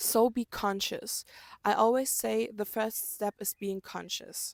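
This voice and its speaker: On a very clean recording with a silent background and a dry, close sound with no echo, a woman with a German accent speaks fairly slowly at a fairly high pitch with fairly even intonation. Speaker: self-help vlogger. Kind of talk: motivational talk to camera.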